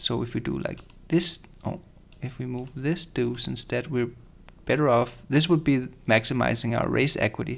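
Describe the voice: Vocal fry at a moderate pace, with fairly even intonation. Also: man, medium pitch for a man.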